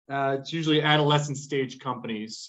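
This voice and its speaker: A man with an American accent speaks fairly quickly. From US, Boston. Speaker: investment fund manager. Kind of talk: business pitch on a video call.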